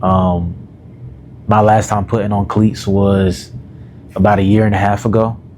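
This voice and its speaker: A man's fairly low voice at a moderate pace, with fairly even intonation, very even loudness, long and frequent pauses, and noticeable background noise. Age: 20s. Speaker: self-development YouTuber and coach. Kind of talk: casual vlog monologue. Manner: casual, filler-heavy.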